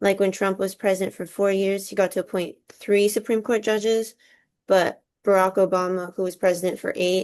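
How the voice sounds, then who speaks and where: Over a quiet background, a woman speaks with a Californian accent at a moderate pace. Her medium-pitched voice stays monotone and flat. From Southern California. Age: 20s. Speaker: college student. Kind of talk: class assignment discussion.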